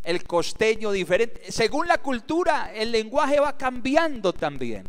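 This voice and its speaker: A man in an Antioquian accent speaks at a fairly slow pace with an extremely high pitch and very wide pitch swings. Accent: Colombian paisa Spanish. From Antioquia, Colombia. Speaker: pastor. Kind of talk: sermon.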